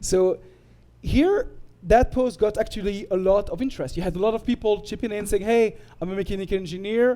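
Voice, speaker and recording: This man has a high voice with a dark, mellow tone. He moves at a fairly quick pace with ordinary pitch variation. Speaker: tech presenter. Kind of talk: presentation. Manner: halting.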